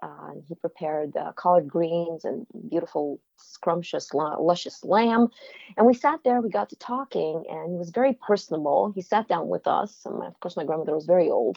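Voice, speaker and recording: A woman speaks with a fairly low pitch and some vocal fry. Her pitch swings very widely. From former Soviet Union. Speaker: playwright and film director. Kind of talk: interview.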